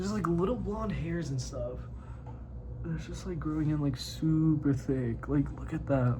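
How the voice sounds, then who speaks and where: Noticeable background noise and audible room echo around a man's American accent, delivered at a moderate pace. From US Midwest. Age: 20s. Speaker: vlogger. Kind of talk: casual vlog monologue. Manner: casual, filler-heavy.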